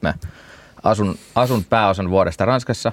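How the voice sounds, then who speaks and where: Here is a man with an ordinary speaking voice, fairly low in pitch, with ordinary pitch variation. He talks at a moderate pace, and the sound is dry and close with no echo. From Finland, Turku. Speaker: beer festival organizer. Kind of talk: casual chat.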